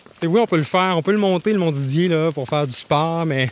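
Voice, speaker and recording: Speaking at a moderate pace, a man uses a fairly high pitch with ordinary variation. The sound is dry and close with no echo, though background noise is noticeable. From Gaspésie, Quebec (Grande-Vallée). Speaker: arts festival communications director. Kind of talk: guided outdoor walk tour. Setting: outdoors on a hiking trail.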